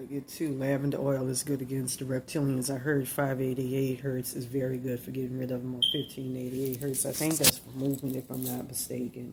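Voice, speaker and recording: Someone with a Louisiana accent speaks at a fairly quick pace over noticeable background noise. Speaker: spiritual video blogger. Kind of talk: rambling monologue to camera. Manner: halting, repetitive.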